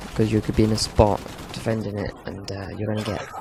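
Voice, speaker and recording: Over noticeable background noise, a man speaks fairly quickly in a flat monotone. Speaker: gaming video commentator. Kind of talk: gameplay commentary. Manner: dry, deadpan humour.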